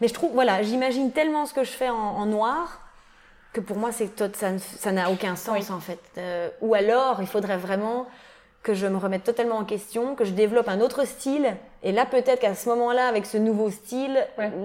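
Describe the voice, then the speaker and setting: This is an ordinary speaking voice from a woman with a fairly high pitch. She talks at a moderate pace with ordinary pitch variation. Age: 20s. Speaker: tattoo artist. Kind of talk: interview. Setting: tattoo shop.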